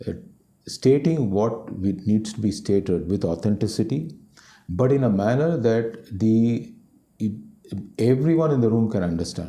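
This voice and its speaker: A man with a Tamil accent, a dark, mellow tone, lively intonation and long, frequent pauses. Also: medium pitch for a man, moderate pace. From Delhi, India. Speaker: company CEO. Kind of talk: interview. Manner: halting, many fillers and repetitions.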